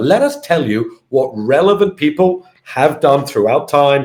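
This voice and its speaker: A man with a British accent at a fairly slow pace, his pitch swinging very widely. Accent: UK. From UK. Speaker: fintech company founder and CEO. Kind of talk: interview.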